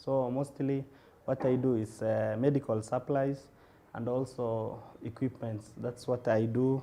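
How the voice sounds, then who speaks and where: A man with a Kenyan accent talks at a fairly slow pace in a dark, mellow tone with monotone, flat intonation. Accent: Kenyan (Somali-Kenyan) English. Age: 20s. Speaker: radiographer and medical supplies entrepreneur. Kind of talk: interview. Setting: TV studio, live broadcast. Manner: halting, many fillers.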